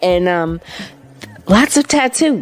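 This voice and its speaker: Music plays in the background as a woman talks in an animated tone with lively intonation. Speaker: radio show co-host. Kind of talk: radio segment monologue.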